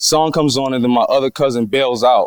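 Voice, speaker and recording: A man speaks with a strong Philadelphia accent and ordinary pitch variation. The sound is dry and close, with no echo. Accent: thick Philadelphia. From Philadelphia, US. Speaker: actor and singer. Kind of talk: interview. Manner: fast; casual.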